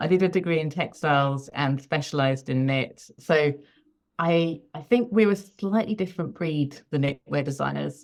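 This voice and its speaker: In a British accent, a woman speaks at a moderate pace with a very deep, low pitch. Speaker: freelance knitwear designer. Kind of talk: interview.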